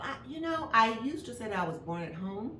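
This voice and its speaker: A woman with an American accent talks at a fairly quick pace over noticeable background noise, with audible room echo. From Kansas City, Missouri. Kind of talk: life story interview.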